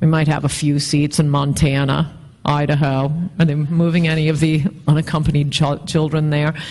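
A woman's very deep, low voice at a moderate pace. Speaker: interview guest. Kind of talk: interview answer. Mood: wry, occasionally laughing. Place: hall. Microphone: handheld.

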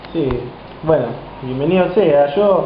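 Light background noise and audible room echo surround a man speaking at a fairly slow pace. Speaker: professional footballer. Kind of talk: interview. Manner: halting. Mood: relaxed, smiling. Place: kitchen. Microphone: camera far.

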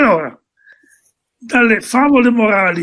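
With an Emilian accent, this speaker talks at a fairly slow pace, the pitch swinging very widely against a quiet background. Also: man. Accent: Modenese Italian. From Modena, Italy. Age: 80s+. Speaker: singer-songwriter. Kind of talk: casual talk. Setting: online live stream. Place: home room.

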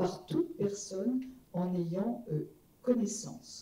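Audible room echo around a woman's voice of ordinary pitch variation. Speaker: law professor, former MP; panel member. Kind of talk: public conference talk. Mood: serious, measured. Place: hall.

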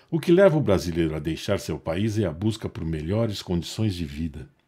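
Over a very clean recording with a silent background, a man speaks in a warm, theatrical, dark, mellow tone at a very deep, low pitch. His intonation is lively and his voice somewhat breathy. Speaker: narrator. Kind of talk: scripted storytelling narration with dramatic, nostalgic flourishes. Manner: warm, measured storyteller delivery; wistful, theatrical pacing with emphatic pauses.

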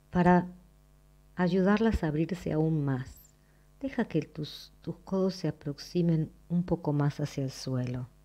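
A woman's fairly low voice at a very slow pace, with ordinary pitch variation and music in the background. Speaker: movement lesson teacher. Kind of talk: guided exercise instruction. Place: home room.

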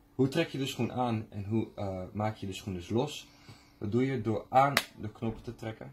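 A man talks at a fairly slow pace with ordinary pitch variation. Noticeable background noise runs under his voice. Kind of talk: product unboxing tutorial. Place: shop. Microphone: phone near.

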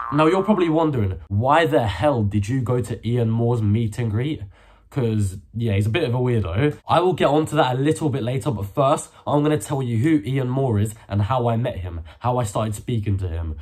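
At a fairly quick pace, a man talks with lively intonation and a somewhat breathy voice. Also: quiet background. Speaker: youtuber. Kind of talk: casual vlog chat. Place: home room. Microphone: phone near.

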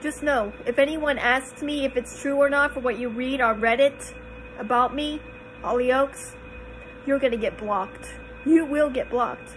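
A woman's high voice at a moderate pace, over light background noise. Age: 30s. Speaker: YouTuber. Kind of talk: video monologue. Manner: animated. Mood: tearful, upset, defensive. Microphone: phone near.

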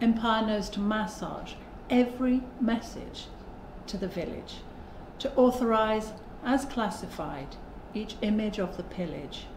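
Over light background noise and audible room echo, a woman with a fairly high pitch talks at a fairly slow pace. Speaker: poet in residence. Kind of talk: spoken word poem performance, reading aloud. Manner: rhythmic, driving rhyme and emphatic delivery. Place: home room.

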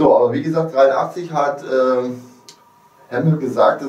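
A man at a moderate pace, with audible room echo. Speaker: fan video host. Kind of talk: casual fan talk to viewers. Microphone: camera far.

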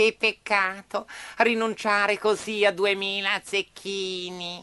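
A female-sounding put-on character voice speaks at a medium pitch. The pace is very slow and the intonation monotone and flat. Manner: smooth, courteous, wheedling.

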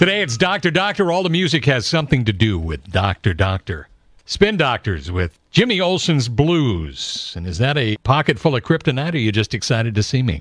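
Speaking in an American accent, a man uses a medium pitch with very wide pitch swings and vocal fry. His fairly quick delivery has hardly any pauses, and the sound is dry with no echo. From Southern California. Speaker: classic rock radio host. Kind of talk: radio show host patter between songs. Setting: radio broadcast. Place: studio.

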